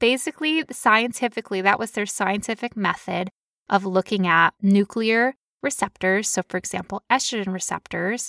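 Her voice bright and sharp, a woman talks at medium pitch and a moderate pace with lively intonation, recorded very cleanly against a silent background in a dry, close space with no echo. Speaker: podcast host living with chronic illness. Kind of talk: casual explanatory chat about medical research. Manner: animated.

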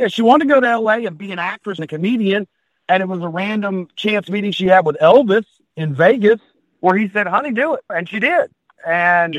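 With an American accent, a man talks at a fairly quick pace in a high pitch with ordinary pitch variation. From US South, South Carolina. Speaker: podcast guest host. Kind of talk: casual chat.

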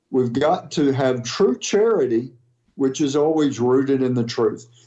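This man has an ordinary speaking voice, pitched fairly high. He talks fairly slowly with lively intonation. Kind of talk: interview clip.

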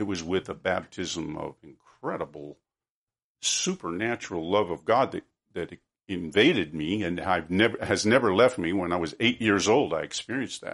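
A plain, everyday voice from a man with an American accent, fairly low in pitch, at a moderate pace with ordinary pitch variation. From US West, Oregon. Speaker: author and filmmaker. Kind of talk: interview.

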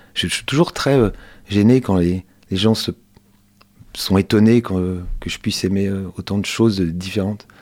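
A man's fairly low voice with fairly even intonation and long, frequent pauses, on a very clean recording with a silent background. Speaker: culture journalist and volunteer radio host. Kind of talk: radio interview. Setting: radio studio. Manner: soft, calm; hesitant.

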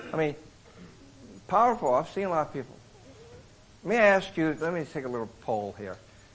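With an American accent, a man talks at a fairly high pitch, his pitch swinging very widely between long, frequent pauses. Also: fairly quick pace. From Iowa, US Midwest. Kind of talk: sermon. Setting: men's retreat with live audience.

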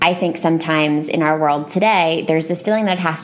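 Against noticeable background noise, a woman with an American accent talks very fast at a fairly low pitch. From United States. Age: 20s. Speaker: podcast host. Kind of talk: casual chat.

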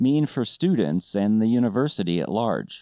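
Against a quiet background, a man with a medium pitch uses an ordinary speaking voice with lively intonation. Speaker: podcast host and business academic. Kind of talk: interview.

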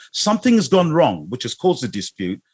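The speaker is a man. His voice has vocal fry. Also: very clean recording, silent background. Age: 50s. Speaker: geotechnical engineering consultant. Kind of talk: interview.

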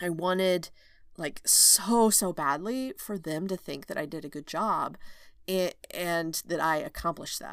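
Lively in intonation, a woman speaks with an American accent at a fairly low pitch and fairly slow pace. The recording is very clean with a silent background. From Oklahoma, rural. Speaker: OB/GYN physician and coach, podcast host. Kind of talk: solo podcast monologue. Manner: casual, laughing often.

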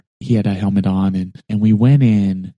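Dark and mellow in tone, a man talks at a fairly low pitch. His pace is fairly quick, with ordinary pitch variation. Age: 40s. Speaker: podcast co-host, father of six. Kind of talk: casual chat.

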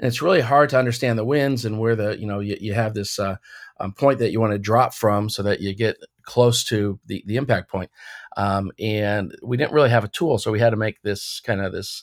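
A man with a plain, everyday voice and an American accent, medium in pitch with ordinary pitch variation, at a fairly quick pace, in a very clean recording with a silent background and a dry, close sound with no echo. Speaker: retired air force colonel, company CEO. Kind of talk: interview.

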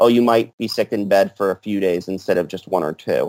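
An unremarkable speaking voice belongs to a man with a fairly low pitch, talking at a fairly quick pace. The recording is very clean, silent in the background, with a dry, close sound with no echo. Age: 30s. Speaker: medical doctor and vaccine researcher. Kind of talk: casual interview.

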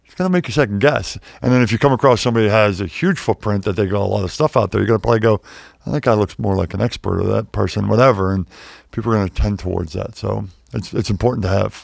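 Very fast and fairly low, a man's voice shows vocal fry, ordinary pitch variation and big swings in loudness, on a very clean recording with a silent background. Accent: American. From Pittsburgh, Pennsylvania. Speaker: wealth manager, former pro basketball player. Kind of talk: casual interview. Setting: studio.

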